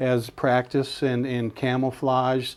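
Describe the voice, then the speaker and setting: A man with a fairly high pitch, a dark, mellow tone and an Upper Midwest accent, quiet background. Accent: Upper Midwest American. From Washburn, Wisconsin. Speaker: bear and deer hunting guide. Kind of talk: interview answer. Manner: hesitant, many fillers.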